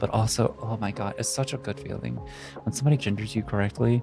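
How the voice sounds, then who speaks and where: Over music in the background, a woman with a very deep, low pitch speaks at a fairly quick pace in an excited, enthusiastic tone. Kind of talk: casual talk to camera, meme reaction video. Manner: excited, emotional, enthusiastic.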